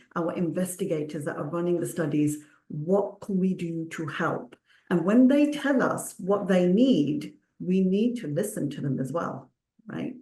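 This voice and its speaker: A woman's fairly low, dark, mellow and somewhat breathy voice with a Punjabi accent, at a fairly slow pace with lively intonation. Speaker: clinical research consultant. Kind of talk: panel discussion.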